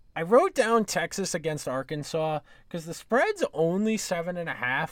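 A man speaks in an ordinary speaking voice with an American accent, at a moderate pace and with ordinary pitch variation. The recording is very clean, with a silent background. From New York area. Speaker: sports podcast host. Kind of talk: solo podcast monologue, sports betting talk. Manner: casual, conversational.

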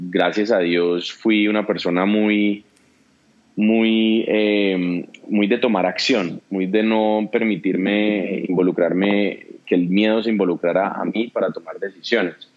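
A man's fairly low voice, monotone and flat, at a very slow pace amid noticeable background noise. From Colombia, Pereira and Cali. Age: young. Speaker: entrepreneur. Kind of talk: interview conversation.

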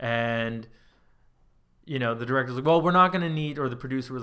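The tone is bright and sharp, moving at a fairly quick pace. The recording is very clean, with a silent background. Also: man. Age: 30s. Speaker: composer and sound designer. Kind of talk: casual chat. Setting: studio.

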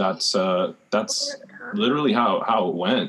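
This man talks at a fairly slow speed, and the background is quiet. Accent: New York. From Rockaways, Queens, New York. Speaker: advertising professional. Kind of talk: panel discussion.

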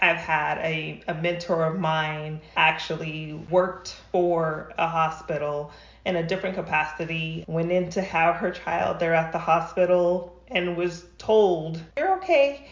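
The speaker goes at a fairly slow pace with hardly any pauses and fairly even intonation, with audible room echo in the recording. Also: woman, fairly low pitch for a woman. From New Mexico. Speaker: doula. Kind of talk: interview.

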